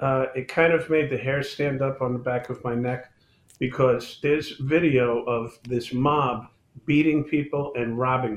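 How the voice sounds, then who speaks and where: A man speaks with a New York accent at a fairly slow pace. His intonation stays fairly even. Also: medium pitch for a man. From New York City, the Bronx. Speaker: police chief. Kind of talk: political panel discussion.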